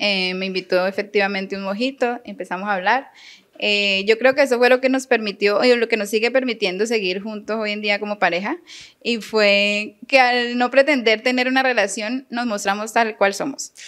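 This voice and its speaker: This woman talks at a moderate pace in a fairly high pitch. Her intonation stays fairly even. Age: 30s. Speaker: teacher. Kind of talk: interview.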